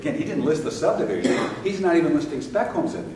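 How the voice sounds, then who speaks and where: A man's voice carries audible room echo. Noticeable background noise is present. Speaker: real estate coach and seminar speaker. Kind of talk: live seminar talk. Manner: animated.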